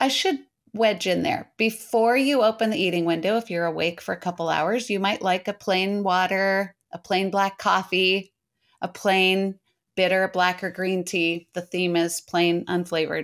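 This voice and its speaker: Very cleanly recorded against a silent background, a woman in a normal speaking voice speaks at medium pitch and a moderate pace with fairly even intonation. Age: 60s. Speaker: health coach. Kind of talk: interview.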